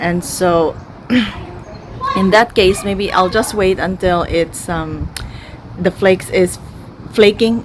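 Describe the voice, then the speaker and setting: A woman's medium-pitched voice at a very slow pace, with long, frequent pauses, fairly even intonation and noticeable background noise. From Philippines. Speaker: beauty vlogger. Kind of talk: casual talk to camera.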